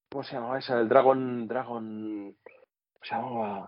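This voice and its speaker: This is a normal speaking voice. It moves at a fairly slow pace. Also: man. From Catalonia, Spain (Sitges / Tarragona area). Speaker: former radio host. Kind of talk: casual interview.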